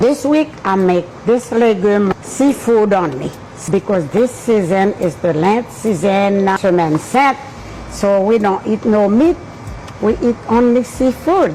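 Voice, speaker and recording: Over noticeable background noise, a woman speaks at a very slow pace in a medium pitch. Her intonation is lively while her loudness stays very even. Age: 80s+. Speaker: home cook. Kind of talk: cooking tutorial.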